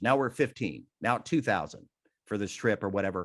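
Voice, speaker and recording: A man with an unremarkable speaking voice and lively intonation, moving at a fairly quick pace against a quiet background. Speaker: benefit auctioneer. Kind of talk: interview.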